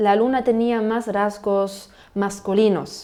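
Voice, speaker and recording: In a German accent, a woman speaks at a fairly slow pace with a dark, mellow tone. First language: German (speaking Spanish). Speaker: language podcast host. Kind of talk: educational podcast monologue. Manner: halting, with repetitions.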